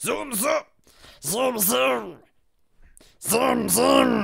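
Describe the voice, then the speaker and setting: A raspy, rumbling put-on character voice. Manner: grumbling.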